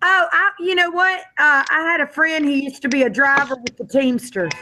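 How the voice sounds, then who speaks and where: Projecting her voice, a woman speaks at a high pitch and a moderate pace. Her intonation is lively. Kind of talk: casual chat.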